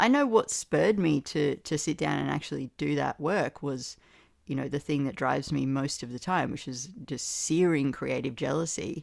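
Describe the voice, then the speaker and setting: A woman talks at a moderate pace in an Australian accent, her pitch very deep and low with ordinary variation. The recording is very clean, with a silent background. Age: 30s. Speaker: poet. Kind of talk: casual conversation. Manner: animated.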